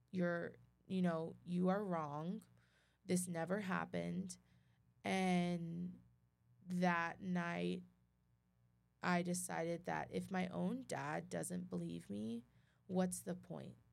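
A woman talks with an American accent. Her pace is very slow, broken by long, frequent pauses. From Texas, Midland. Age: 20s. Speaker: abuse survivor sharing her story. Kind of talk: testimony.

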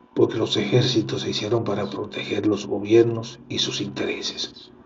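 A man talks at a moderate tempo, and background noise is noticeable. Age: 50s. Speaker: podcast host. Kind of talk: casual monologue. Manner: halting.

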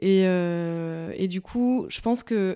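A woman's dark, mellow tone comes through on a very clean recording with a silent background. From northern France, Picardy (Soissons). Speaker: visual artist. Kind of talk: interview. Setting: artist's studio. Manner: halting.

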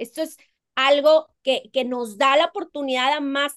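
A woman speaks at a high pitch and a fairly slow pace. Her pitch varies in an ordinary way, and the sound is dry and close with no echo. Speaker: pension consultant. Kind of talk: interview, explaining.

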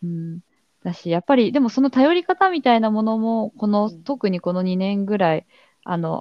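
A plain, everyday voice from a woman, fairly high in pitch, with lively intonation, big swings in loudness and a moderate pace. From Kanagawa, Japan (Hadano). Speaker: theatre producer / arts manager. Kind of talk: casual interview conversation.

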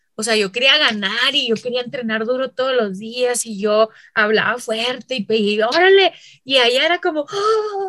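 Speaking at a moderate pace, a woman uses a high pitch, lively intonation, an animated tone and a bright, sharp sound. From Mexico, Chihuahua. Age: 30s. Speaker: basketball referee and instructor. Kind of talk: interview conversation. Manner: loud, forceful.

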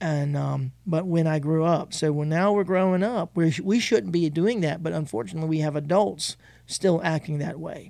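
On a very clean recording with a silent background, a man speaks at a fairly high pitch in a dark, mellow tone. His pace is moderate, with ordinary pitch variation and hardly any pauses. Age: 50s. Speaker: pastor. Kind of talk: casual chat.

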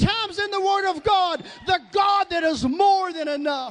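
Shouting in a Southern US accent, the speaker keeps a fairly slow pace and an animated tone, with ordinary pitch variation. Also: man. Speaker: preacher. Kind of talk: sermon.

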